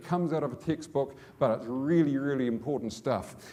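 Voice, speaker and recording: A man with a New Zealand accent, fairly high pitch and a dark, mellow tone, with audible room echo. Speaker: business executive. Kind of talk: conference talk. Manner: fast; repetitive stammering starts.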